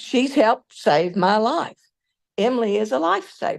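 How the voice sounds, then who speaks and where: A woman with a Southern US accent, medium pitch, ordinary pitch variation and a fairly slow pace. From US South. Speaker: former faculty colleague. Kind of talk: memorial tribute. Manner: halting.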